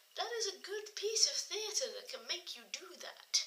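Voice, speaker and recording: Speaking at a fairly slow pace with an English accent, a woman is heard over noticeable background noise. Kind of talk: casual talk to camera. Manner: quiet.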